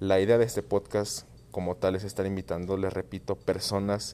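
A man speaks in a very deep, low pitch with a dark, mellow tone. His intonation stays fairly even. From Guadalajara, Mexico. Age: 20s. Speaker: podcast host. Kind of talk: solo monologue podcast intro. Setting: at home. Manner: halting, many repetitions and fillers.

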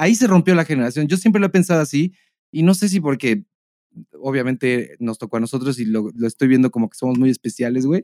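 Dry and close with no echo, a man's dark, mellow voice moves at a very fast pace with lively intonation and big swings in loudness. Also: medium pitch for a man. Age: 30s. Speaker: podcast co-host. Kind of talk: casual chat.

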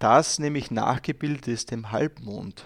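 Heard over a quiet background with a dry, close sound and no echo, a man at a medium pitch speaks with ordinary pitch variation. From Austria, Styria. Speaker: guest talking about his country. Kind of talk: casual interview. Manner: halting, many fillers.

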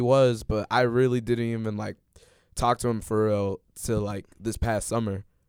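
Recorded very cleanly with a silent background and a dry, close sound with no echo, a man speaks at a medium pitch with a Chicago accent. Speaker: podcast co-host, college student. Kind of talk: casual chat.

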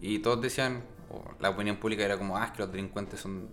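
Pitch rises and falls in an ordinary way. The delivery is very fast. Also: man. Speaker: podcast co-host. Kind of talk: casual chat.

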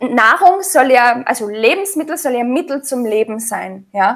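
Here a woman talks at a moderate pace. Her pitch is high. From Austria. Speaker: sprouts expert and author. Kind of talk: interview.

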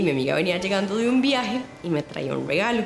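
With very wide pitch swings and a fairly quick pace, a woman talks amid audible room echo and noticeable background noise. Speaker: listener sharing a story. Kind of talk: personal anecdote.

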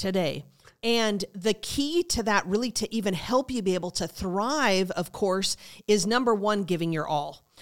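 An unremarkable speaking voice at a moderate pace with lively intonation, on a very clean recording with a silent background. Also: woman, medium pitch for a woman. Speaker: pastor. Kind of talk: sermon-style preaching talk. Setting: studio.

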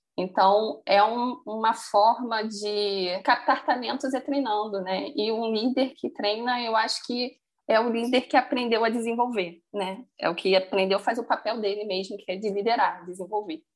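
A woman speaks in a normal speaking voice, fairly high in pitch with ordinary pitch variation. Her pace is fairly slow, with hardly any pauses. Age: 30s. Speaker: finance professional. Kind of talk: casual interview. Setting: remote call.

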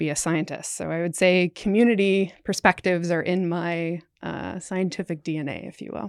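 A woman with a plain, everyday voice and fairly low pitch speaks with fairly even intonation, captured in a very clean recording with a silent background and a dry, close sound with no echo. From Canada. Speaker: scientist, incoming program director. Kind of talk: casual interview.

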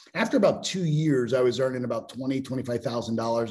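Talking at a very fast pace, a man with an American accent keeps a medium pitch and fairly even intonation. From Pittsburgh, US. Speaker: business mentor and speaker. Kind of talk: casual interview.

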